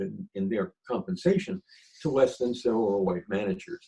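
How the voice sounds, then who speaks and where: A man with an American accent uses very wide pitch swings at a moderate pace. His tone is dark and mellow, touched with vocal fry. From Philadelphia. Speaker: retired government attorney. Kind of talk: storytelling interview.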